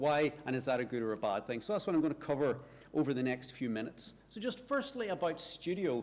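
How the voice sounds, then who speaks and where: A fairly quick pace with a Northern Irish accent. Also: man. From Northern Ireland. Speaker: university lecturer, researcher. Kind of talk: conference talk.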